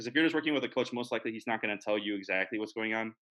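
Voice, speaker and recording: Here a man's fairly low voice carries a bright, sharp tone. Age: 20s. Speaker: bodybuilding competitor and student. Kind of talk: casual interview chat.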